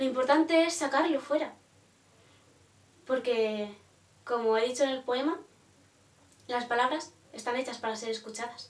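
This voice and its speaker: A woman talks at a moderate pace in a high pitch with ordinary variation. Long, frequent pauses break up her speech. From Spain. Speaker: poet and vlogger; vlogger, poet. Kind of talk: casual vlog reflection. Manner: animated; hesitant. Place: home room. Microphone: phone near.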